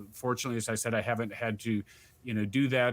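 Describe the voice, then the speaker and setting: A man's medium-pitched voice at a fairly quick pace, monotone and flat in intonation. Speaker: voice actor and sports video game announcer. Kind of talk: interview answer. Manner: casual, conversational.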